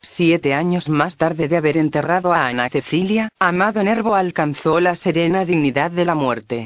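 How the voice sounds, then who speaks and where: At a moderate pace, the speaker keeps a solemn tone with hardly any pauses. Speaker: audiobook narrator. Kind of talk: scripted narration introducing a poem recording, solemn and eulogizing. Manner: formal, solemn, measured.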